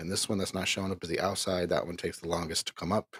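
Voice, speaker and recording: With no echo at all, a man's voice sounds dry and close. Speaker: online minister and caregiver. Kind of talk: live stream casual talk. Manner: animated.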